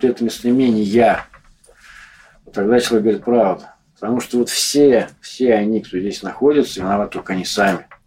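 A man at medium pitch talks fairly quickly with fairly even intonation, broken by long, frequent pauses. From Moscow. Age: 40s. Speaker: homeless man. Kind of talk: interview.

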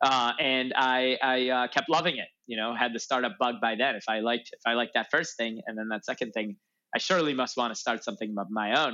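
At a fairly quick pace, a man with a plain, everyday voice speaks at a medium pitch with ordinary pitch variation. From US Midwest, Chicago north suburbs. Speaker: startup founder and CEO. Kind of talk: interview.

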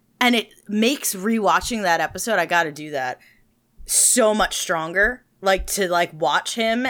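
On a very clean recording with a silent background, a woman speaks at a fairly slow pace. Her tone is animated. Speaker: podcast co-host. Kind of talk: casual chat.

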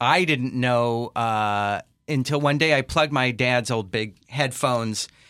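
A man's bright, sharp voice with an American accent, on a very clean recording with a silent background. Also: medium pitch for a man, ordinary pitch variation, fairly slow pace. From Los Angeles. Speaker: podcast host. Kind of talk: interview.

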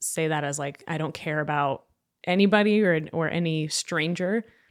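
In a very clean recording with a silent background, a woman with a plain, everyday voice and a fairly low pitch talks at a moderate pace. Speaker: data analytics administrator, immigrant guest. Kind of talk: casual interview.

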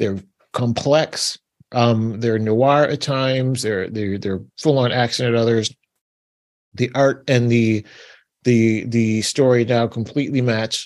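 A man with an American accent speaks at a very slow pace, medium pitch and fairly even intonation. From New York. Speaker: podcast co-host. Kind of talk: casual chat.

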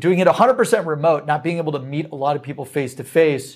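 A man's fairly high voice, a plain, everyday voice with ordinary pitch variation, on a very clean recording with a silent background. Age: 30s. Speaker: sales company executive. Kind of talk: casual interview chat. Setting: studio.

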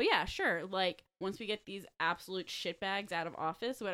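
At a moderate pace, this is a normal speaking voice with ordinary pitch variation. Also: woman. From Delaware County, Pennsylvania. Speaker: podcast host. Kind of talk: casual chat.

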